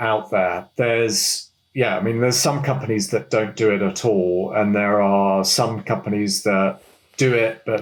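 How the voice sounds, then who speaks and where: With a British accent, a man speaks at a fairly low pitch with ordinary variation. The recording is very clean, the background silent. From United Kingdom. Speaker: management consultant. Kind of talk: interview answer.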